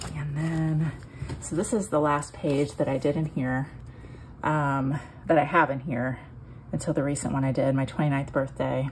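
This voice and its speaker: A woman's very deep, low voice with vocal fry, fairly even intonation, a moderate pace and long, frequent pauses. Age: 40s. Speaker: scrapbooking YouTuber. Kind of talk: casual album flip-through tutorial. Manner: hesitant with many ums; laughs often.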